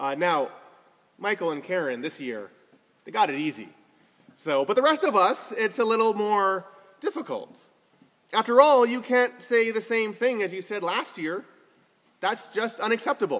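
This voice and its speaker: A man speaks at a moderate pace with lively intonation. He leaves long, frequent pauses. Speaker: preacher. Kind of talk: sermon. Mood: warm, lightly humorous. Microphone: phone near.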